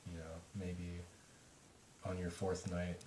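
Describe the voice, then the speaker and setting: A man mumbles in a very deep, low voice. His voice is somewhat breathy. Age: young. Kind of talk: casual talk to camera. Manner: mumbling, halting, many filler words.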